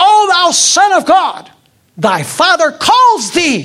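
An extremely high-pitched, put-on character voice speaks at a very slow pace. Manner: commanding, earth-shaking.

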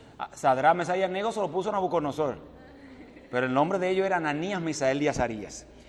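With an animated tone and lively intonation, a man speaks at a fairly high pitch. Audible room echo and noticeable background noise fill the recording. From Dominican Republic. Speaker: preacher, evangelist. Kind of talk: sermon.

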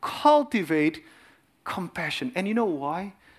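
A man speaks at a fairly slow pace with an Indonesian accent. His pitch swings very widely. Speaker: cardiologist and lay preacher. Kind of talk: sermon.

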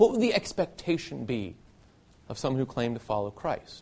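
Using very wide pitch swings, a man with a Southern US accent talks at a moderate pace. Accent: faint Southern US. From US South, Nashville, Tennessee. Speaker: preacher. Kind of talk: sermon.

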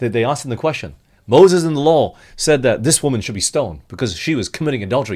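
Speaking very fast, a man uses a fairly high pitch with vocal fry. His intonation is lively. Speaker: preacher. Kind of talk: sermon.

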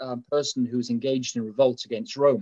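With a dry, close sound and no echo, a man speaks at a fairly quick pace with ordinary pitch variation. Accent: English. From England. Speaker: preacher. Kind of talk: sermon. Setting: live stream with audience.

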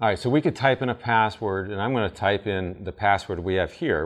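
A normal speaking voice moves at a fairly quick pace with ordinary pitch variation over a quiet background. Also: man. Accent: American. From Vermont, US. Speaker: IT security presenter at church camp meeting. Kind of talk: seminar talk. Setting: camp meeting session with audience.

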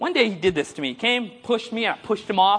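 Over noticeable background noise, the speaker goes at a very fast pace in an animated tone. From India. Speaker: preacher. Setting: conference stage with audience. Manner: humorous, engaging, audience-prompting.

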